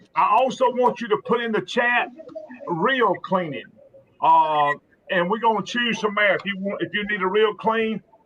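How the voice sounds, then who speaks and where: Pitch moves with ordinary variation. The speed is moderate. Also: man, high pitch for a man. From South Alabama. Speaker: fishing show host. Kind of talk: live stream chat. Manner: casual, halting with fillers.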